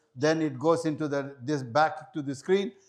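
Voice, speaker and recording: On a very clean recording with a silent background, a man speaks in a fairly high pitch. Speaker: hajj guide and seminar presenter. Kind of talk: seminar presentation. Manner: fast.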